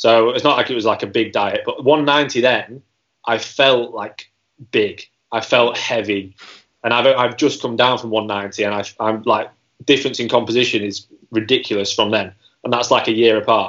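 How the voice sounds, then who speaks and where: A man with an unremarkable speaking voice, medium in pitch, fairly even in intonation, at a moderate pace. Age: 20s. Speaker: personal trainer and first-time competitor. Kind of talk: casual interview chat.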